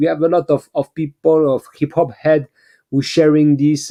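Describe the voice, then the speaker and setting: This man has a dark, mellow tone and a fairly high pitch. He speaks with a French accent. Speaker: beat-making livestream host. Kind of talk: casual livestream chat. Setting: online livestream. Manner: halting, many repetitions.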